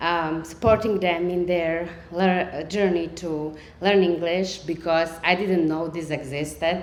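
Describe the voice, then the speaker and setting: A woman's fairly low voice with a Slovak accent, fairly even intonation and a fairly slow pace, with audible room echo. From Serbia, Slovak-speaking minority. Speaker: storyteller. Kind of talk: storytelling. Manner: halting, many fillers.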